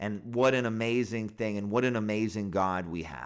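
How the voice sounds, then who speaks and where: An animated man's voice at a moderate pace with ordinary pitch variation. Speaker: pastor. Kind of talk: bible commentary sermon. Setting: Facebook live stream.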